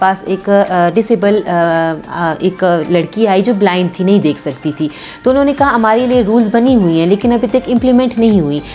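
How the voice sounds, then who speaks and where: Music plays behind the speaker. She is a woman whose pitch varies in an ordinary way. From Mastung, Balochistan, Pakistan. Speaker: lawyer. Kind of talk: interview answer.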